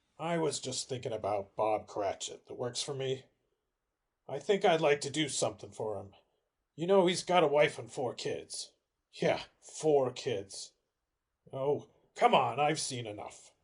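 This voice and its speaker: Putting on a raspy character voice at a fairly high pitch, a man speaks at a moderate pace with long, frequent pauses. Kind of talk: 1940s radio acting. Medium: audio drama. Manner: casual, slangy.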